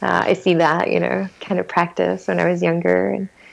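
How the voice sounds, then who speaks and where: Noticeable background noise runs through the clip. A woman is speaking. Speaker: energy medicine teacher. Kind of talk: interview answer.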